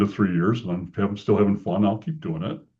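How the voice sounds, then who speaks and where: The man's voice sits fairly low. His pitch varies in an ordinary way. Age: 70s. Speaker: franchise consultant and business chamber president. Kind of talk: interview. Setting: podcast. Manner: conversational with fillers and repeats.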